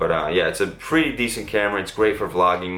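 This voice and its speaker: Audible room echo surrounds a man as he speaks. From Massachusetts, Cape Cod/Boston area. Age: 30s. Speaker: fitness YouTuber and skateboarder. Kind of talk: casual Q&A vlog. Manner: casual, filler-heavy.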